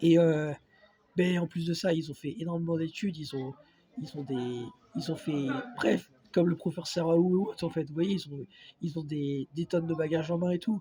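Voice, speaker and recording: Pausing long and often, a man speaks at a moderate pace in a high voice with ordinary pitch variation. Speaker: video blogger. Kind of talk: casual vlog monologue. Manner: hesitant, many fillers.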